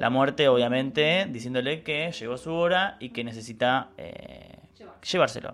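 A man with a normal speaking voice talks at a moderate pace with hardly any pauses, his fairly high pitch showing ordinary variation while his loudness swings widely. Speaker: podcast co-host. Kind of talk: casual educational chat.

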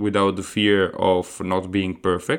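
A man speaks in an Italian accent. His pitch sits fairly low. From Italy. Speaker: podcast host, aspiring entrepreneur. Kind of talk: solo podcast monologue. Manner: hesitant, frequent fillers.

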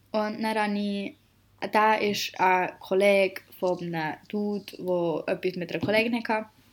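At a fairly slow pace, a woman speaks in a plain, everyday voice with a medium pitch and fairly even intonation. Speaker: podcast co-host, apprentice. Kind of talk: casual chat.

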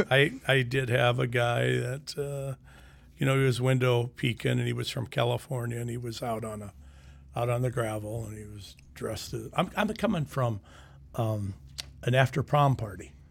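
In an American accent, a somewhat breathy man with a medium pitch speaks at a moderate pace with fairly even intonation and big swings in loudness. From US Midwest (Sioux City, Iowa). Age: 60s. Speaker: retired sheriff. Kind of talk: casual chat. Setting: studio.

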